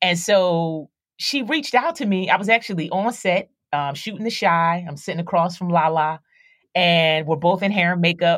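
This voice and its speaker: A woman with an American accent and a normal speaking voice, medium pitch and moderate pace, on a very clean recording with a silent background. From Philadelphia, US East Coast. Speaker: actress and rapper. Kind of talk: casual interview.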